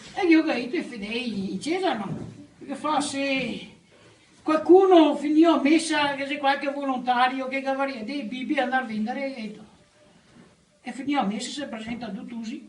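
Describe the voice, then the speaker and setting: Moderate pace with long, frequent pauses and noticeable background noise. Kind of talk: joke telling in dialect.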